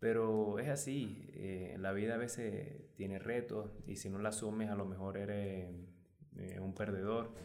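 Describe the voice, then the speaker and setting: Over music in the background and audible room echo, a man speaks at a fairly slow pace with ordinary pitch variation. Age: 20s. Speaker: personal trainer. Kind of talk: interview. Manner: halting, many repetitions and fillers.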